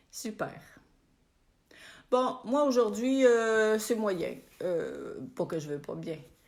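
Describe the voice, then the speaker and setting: With audible room echo around her, a woman speaks at a very slow pace, leaving long, frequent pauses. Her pitch is fairly high and her intonation lively. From Quebec. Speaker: spiritual coach. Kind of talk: live stream chat with viewers. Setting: Facebook live video. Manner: casual, warm.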